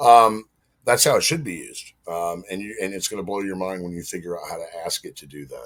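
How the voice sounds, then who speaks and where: A man with a Southern US accent, fairly low in pitch with ordinary variation, at a fairly quick pace and with big swings in loudness. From US South. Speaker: marketing consultant, podcast guest. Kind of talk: casual chat.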